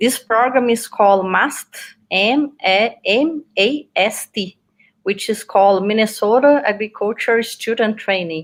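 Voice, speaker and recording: Speaking at a fairly slow pace, a woman uses a fairly high voice with ordinary pitch variation. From Brazil, Minas Gerais. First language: Portuguese. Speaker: PhD student, veterinary researcher. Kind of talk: interview.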